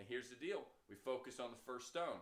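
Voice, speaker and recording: An animated delivery at a fairly quick pace with ordinary pitch variation. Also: man. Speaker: real estate trainer. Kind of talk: training lecture. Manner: fast.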